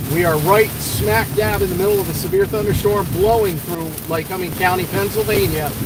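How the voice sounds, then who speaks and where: A man talks at a fairly quick pace in a high voice. Noticeable background noise and audible room echo fill the recording. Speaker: storm chaser. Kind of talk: live commentary. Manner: loud.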